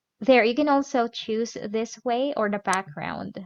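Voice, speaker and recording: A woman's fairly high voice in a Filipino accent, fairly slow, with ordinary pitch variation and a dry, close sound with no echo. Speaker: mom vlogger teaching productivity app. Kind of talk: tutorial. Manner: halting, many fillers.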